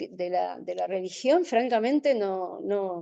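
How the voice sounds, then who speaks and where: A woman's dark, mellow voice with an Argentine accent and very wide pitch swings. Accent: Rioplatense Argentine Spanish. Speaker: journalist, webinar speaker. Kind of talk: Q&A answer in webinar. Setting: online webinar. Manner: halting, many fillers.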